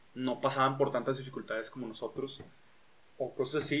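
A man with a plain, everyday voice, fairly high in pitch, at a moderate pace. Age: 20s. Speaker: podcast host, engineer and musician. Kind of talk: casual chat. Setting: home recording.

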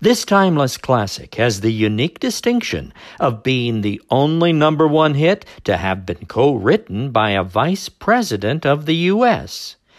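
A man in an upbeat tone talks at a fairly slow pace with hardly any pauses, a fairly high pitch and very wide pitch swings. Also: very clean recording, silent background. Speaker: radio oldies dj. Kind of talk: scripted radio-style music history segment, podcast intro and outro. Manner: brisk, polished, upbeat announcer delivery; formal, informative, repeats the same patter.

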